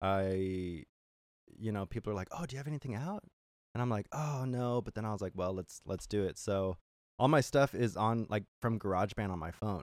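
A man with an American accent talks at a fairly quick pace in a fairly low pitch, with ordinary pitch variation and an ordinary speaking voice. The sound is dry and close with no echo, on a very clean recording with a silent background. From California. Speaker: singer-songwriter. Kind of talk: casual chat. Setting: on a boat.

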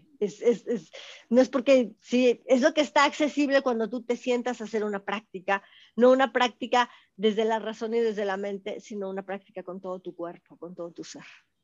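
Dry and close with no echo, a normal speaking voice moves at a moderate pace with ordinary pitch variation and big swings in loudness. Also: woman, fairly high pitch for a woman. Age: 50s. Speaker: spiritual teacher. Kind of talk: interview.

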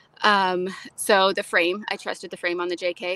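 A woman speaks with an American accent at medium pitch. Her intonation is monotone and flat on a very clean recording with a silent background. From Florida, US South. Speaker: off-road photographer. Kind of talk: casual chat.

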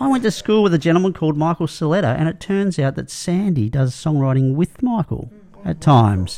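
Very wide pitch swings mark this fairly quick delivery in an Australian accent. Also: man, fairly high pitch for a man. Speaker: podcast host. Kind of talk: casual chat. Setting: studio.

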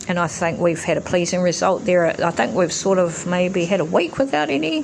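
Someone with a New Zealand accent speaks amid noticeable background noise and audible room echo. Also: woman. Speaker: podcast host. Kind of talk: solo monologue. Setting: home recording. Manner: hesitant, many fillers.

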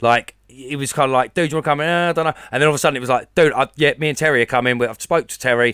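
In an Essex accent, a man talks at a very fast pace with hardly any pauses, a fairly high pitch and fairly even intonation in a bright, sharp tone. The recording is very clean, with a silent background and a dry, close sound with no echo. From Essex, England. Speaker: podcast co-host. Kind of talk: casual chat.

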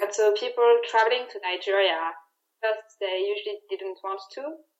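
In a French accent, a woman speaks at medium pitch and a moderate pace. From France. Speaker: security risk analyst. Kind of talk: interview.

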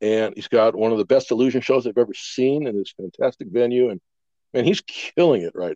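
A man with an American accent talks at a fairly quick pace in an ordinary speaking voice, at medium pitch. His intonation is lively, his loudness swings widely, and the sound is dry and close with no echo. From Wisconsin. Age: 60s. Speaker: magician. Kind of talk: casual chat.

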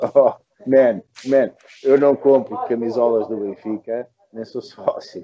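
The speaking pace is very slow. Long, frequent pauses break up the speech. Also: man. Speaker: podcast co-host and rock musician. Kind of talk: casual chat. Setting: bar terrace.

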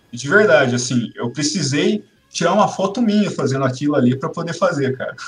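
Over music in the background, a man talks at a fairly quick pace with a fairly high pitch and lively intonation. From Brazil, Campinas. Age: 30s. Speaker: illustrator and comic artist. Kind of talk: casual interview chat.

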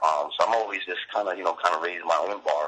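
A man is speaking. His accent is New York. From Brooklyn, New York. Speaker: poet. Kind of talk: interview. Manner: halting, many fillers.

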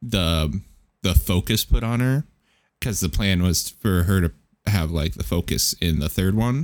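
With lively intonation, a man speaks in a plain, everyday voice at a fairly slow pace. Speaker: podcast co-host. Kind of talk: casual chat.

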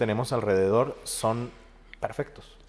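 A man speaks at a very slow pace with a medium pitch. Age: 20s. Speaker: podcast host and psychologist. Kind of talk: casual interview chat.

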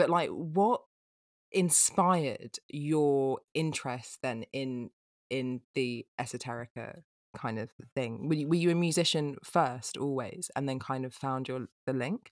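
Speaking at a fairly slow pace in an English accent, a woman is heard in a very clean, dry, close recording with a silent background and no echo. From England. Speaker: podcast co-host. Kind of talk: casual interview chat.

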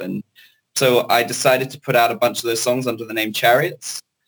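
This man has a British accent and talks at a fairly quick pace. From Hong Kong (British family). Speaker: singer-songwriter and producer. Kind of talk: interview. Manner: hesitant, many fillers.

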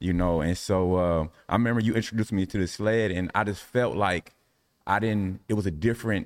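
A man with an American accent speaks in a plain, everyday voice at a fairly low pitch and a fairly quick pace, with ordinary pitch variation. The recording is very clean, with a silent background. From US Midwest, Indianapolis. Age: 40s. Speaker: Pilates instructor, ex-basketball player. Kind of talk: round-table discussion.

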